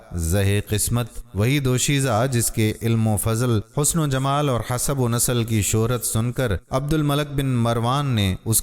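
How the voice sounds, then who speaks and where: A man talks at a medium pitch. His pitch varies in an ordinary way over noticeable background noise. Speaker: voice-over artist. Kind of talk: Islamic moral story narration.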